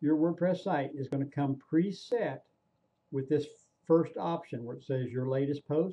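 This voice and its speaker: This man has a fairly high pitch, ordinary pitch variation, a somewhat breathy, dark and mellow tone, and a fairly slow pace. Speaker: online marketing trainer. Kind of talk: screen-recorded tutorial. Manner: casual, repetitive with fillers.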